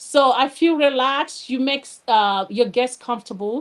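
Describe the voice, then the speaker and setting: A woman with a Nigerian accent talks at a fairly slow pace. Her pitch is high, with ordinary variation. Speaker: educator and candle business owner. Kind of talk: live show interview. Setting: live online show.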